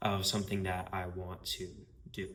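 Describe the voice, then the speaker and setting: Speaking at a fairly slow pace, a man with a fairly low pitch and a bright, sharp tone is heard with audible room echo. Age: 20s. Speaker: marketing agency owner. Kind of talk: casual vlog monologue. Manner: casual, filler-heavy.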